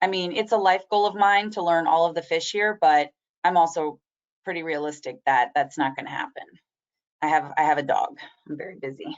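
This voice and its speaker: Here is a woman with an ordinary speaking voice. Her pitch is fairly low, with ordinary pitch variation. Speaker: marine extension agent presenting a webinar. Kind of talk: webinar lecture. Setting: online webinar.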